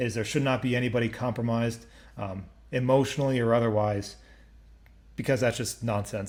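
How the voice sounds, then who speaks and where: A man with a medium-pitched voice talks fairly quickly while audible room echo fills the space. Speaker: crypto project founder hosting community AMA. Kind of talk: live Q&A session. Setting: online voice chat stage. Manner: fast when excited.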